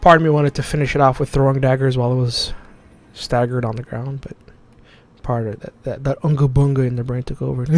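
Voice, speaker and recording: A soft-spoken man talks at a very fast pace in a medium pitch, with monotone, flat intonation. Noticeable background noise runs underneath. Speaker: gaming streamer. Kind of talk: gameplay commentary. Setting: dark room at home, on camera.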